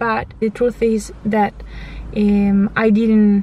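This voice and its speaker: Against noticeable background noise, a woman with an Italian accent speaks at a medium pitch with monotone, flat intonation. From Italy. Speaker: vlogger. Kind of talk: testimony. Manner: halting.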